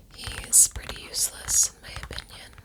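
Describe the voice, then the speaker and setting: Someone whispers at a fairly slow pace with noticeable background noise. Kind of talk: soft-spoken ASMR chitchat ramble about a favorite anime. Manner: soft-spoken, rambling, conversational.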